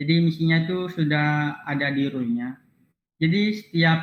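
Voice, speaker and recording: A man speaks with an Aceh accent at a fairly high pitch. His intonation stays fairly even. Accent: Acehnese-accented Indonesian. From Indonesia, Aceh (Aceh Tamiang). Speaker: university student robotics club mentor. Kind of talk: online class lecture; casual self-introduction.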